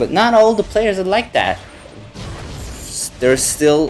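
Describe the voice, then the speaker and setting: With noticeable background noise behind him, a man speaks in a non-native accent, his pitch rising and falling in an ordinary way. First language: not English. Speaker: gaming YouTuber. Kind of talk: gameplay commentary. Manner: halting, searching for words; unscripted, many fillers.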